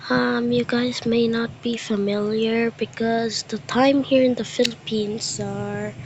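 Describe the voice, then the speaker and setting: A quiet woman's voice, fairly high in pitch, over noticeable background noise. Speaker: reaction youtuber. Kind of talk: casual reaction commentary. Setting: alone in dark bedroom.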